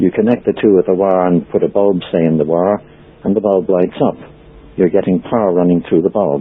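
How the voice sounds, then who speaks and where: In an Irish accent, a man with a very deep, low pitch talks at a fairly quick pace with very even loudness and fairly even intonation. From Ireland. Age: 60s. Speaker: free energy researcher and author. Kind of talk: interview. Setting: podcast interview. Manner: hesitant, frequent ums.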